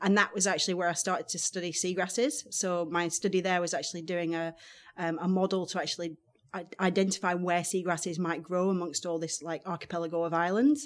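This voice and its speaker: In a Lancashire accent, a woman talks at a very fast pace with fairly low pitch and fairly even intonation. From northern England, Blackburn, Lancashire. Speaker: marine scientist. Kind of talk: interview. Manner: hesitant, many ums.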